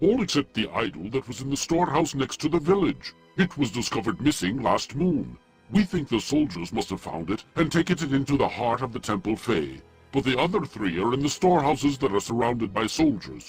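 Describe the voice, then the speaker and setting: Over faint background music, a man uses a put-on character voice at medium pitch and a fairly quick pace. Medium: video game. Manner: formal, measured.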